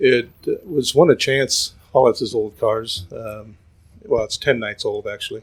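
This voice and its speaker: A man at a fairly slow pace, his loudness swinging widely. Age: 60s. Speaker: dirt track race car driver. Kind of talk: casual interview. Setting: at a racetrack.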